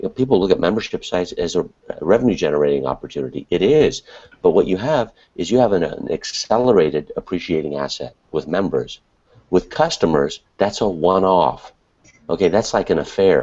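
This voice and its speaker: Pitched fairly low, a man talks at a fairly quick pace with very wide pitch swings. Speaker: webinar co-host, internet marketer. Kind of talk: casual panel discussion. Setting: online video hangout from an apartment at night. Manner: quiet, hushed.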